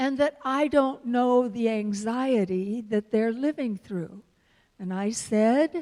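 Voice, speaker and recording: In a very clean recording with a silent background, a voice with an American accent and a dark, mellow tone speaks at a very slow pace with ordinary pitch variation. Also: woman. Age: 70s. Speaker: minister. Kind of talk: sermon. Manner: animated.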